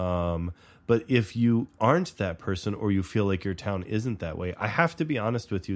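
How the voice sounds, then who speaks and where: A man with a fairly low pitch talks at a moderate pace in an ordinary speaking voice, and the recording is very clean with a silent background. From US South. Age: middle-aged. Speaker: podcast co-host. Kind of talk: casual chat.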